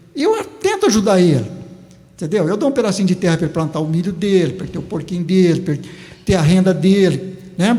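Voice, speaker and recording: Against noticeable background noise, a man talks at a very fast pace. His pitch is high, with ordinary variation. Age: 70s. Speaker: farmer and former teacher. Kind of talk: interview.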